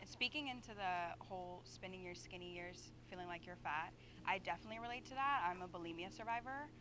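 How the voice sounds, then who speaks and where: A woman talking very fast, her pitch swinging very widely and her loudness rising and falling a lot, over noticeable background noise. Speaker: reality show participant. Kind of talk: group discussion. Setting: video shoot, blindfolded.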